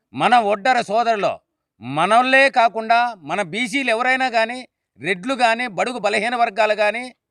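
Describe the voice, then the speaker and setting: On a very clean recording with a silent background, a man talks in a high, bright, sharp tone. His pitch varies in an ordinary way. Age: 60s. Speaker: community leader. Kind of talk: public speech.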